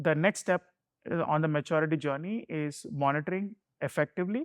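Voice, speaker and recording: In a Keralan accent, a man speaks at a high pitch and a fairly quick pace. The sound is dry and close, with no echo. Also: quiet background. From India, Mumbai. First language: Malayalam. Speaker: security executive. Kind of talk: interview.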